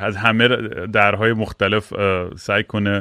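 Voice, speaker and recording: Fairly slow speech from a man with a fairly low pitch. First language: English stronger than Persian (speaking Persian). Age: 40s. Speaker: podcast host and musician. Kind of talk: casual chat.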